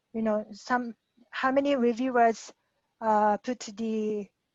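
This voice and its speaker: A woman with a Japanese accent speaks at a very slow pace and a fairly high pitch, her intonation fairly even. The sound is dry and close with no echo, over a quiet background. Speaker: guest speaker. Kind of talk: Q&A after a talk. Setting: video call. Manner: halting.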